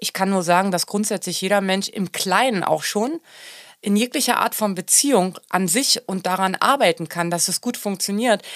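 A woman uses a normal speaking voice at medium pitch, with ordinary pitch variation and a moderate pace, in a dry, close sound with no echo. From Germany. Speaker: singer. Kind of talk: casual chat.

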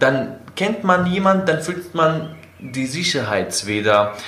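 Audible room echo surrounds a man speaking at a very slow pace. His pitch is fairly high and swings very widely. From Syria, Aleppo (Kurdish). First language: Kurdish or Arabic (speaking German). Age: 20s. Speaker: engineering student and city tour guide. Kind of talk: interview, personal life story. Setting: in person. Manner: hesitant, many fillers.

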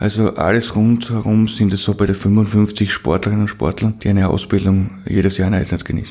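A man talks at a fairly quick pace with hardly any pauses. His fairly low voice is monotone and flat, and its loudness stays very even. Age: 30s. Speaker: mayor and school headteacher. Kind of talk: podcast interview.

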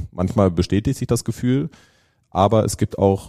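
In a very clean recording with a silent background and a dry, close sound with no echo, a man speaks at a moderate pace in a very deep, low pitch with a dark, mellow tone and ordinary pitch variation. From northern Germany, Lüneburg near Hamburg. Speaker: brand agency executive. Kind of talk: casual interview conversation.

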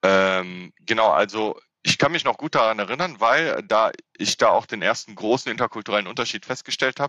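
An ordinary speaking voice moves at a fairly quick pace with ordinary pitch variation. The sound is dry and close with no echo, over a quiet background. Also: man, medium pitch for a man. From Germany, Rhineland (Frechen near Cologne). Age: 30s. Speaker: civil servant, intercultural trainer and comedian. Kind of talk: interview.

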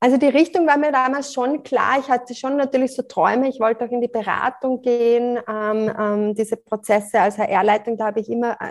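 A woman speaks in a plain, everyday voice at a moderate pace. Her pitch is fairly high with ordinary variation, over a quiet background. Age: 40s. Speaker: life coach. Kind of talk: interview.

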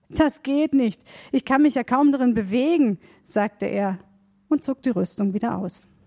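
On a very clean, dry, close recording with no echo and a silent background, a woman with a high voice speaks at a fairly slow pace with lively intonation. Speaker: reader of Bible text. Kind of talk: reading aloud.

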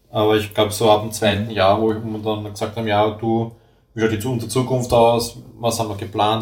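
A somewhat breathy man with an Austrian accent, in audible room echo. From Vienna, Austria. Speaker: tool-making technician. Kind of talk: casual interview.

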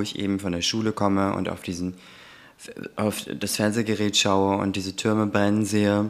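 With an ordinary speaking voice, a man talks at a moderate pace in a fairly low pitch. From Germany, Turkish family. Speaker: anti-racism trainer and podcast co-host. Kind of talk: casual chat.

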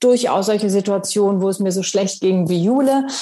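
Somewhat breathy and dark, mellow in tone, this woman's voice sits at a medium pitch. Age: 50s. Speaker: actress and author. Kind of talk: interview.

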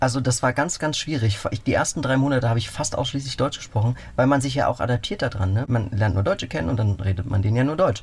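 A man talks very fast at a medium pitch, with lively intonation and very even loudness. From Berlin. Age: 30s. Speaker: cyclist adventurer, nurse and cook. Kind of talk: radio interview.

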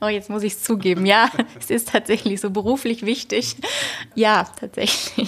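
A woman at a fairly high pitch and a moderate pace, with noticeable background noise. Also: fairly even intonation. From Hesse, Germany (Wetzlar). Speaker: linguist, postdoctoral researcher. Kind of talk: interview.

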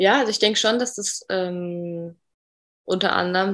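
A woman talks in a plain, everyday voice at a medium pitch. Her intonation is fairly even and her pace moderate. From northern Germany, Bremen. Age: 20s. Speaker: podcast guest, coach. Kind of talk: interview.

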